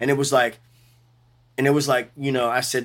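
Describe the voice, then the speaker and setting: A man's medium-pitched voice with a New Orleans accent, on a very clean recording with a silent background. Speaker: bass player. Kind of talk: interview. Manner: animated.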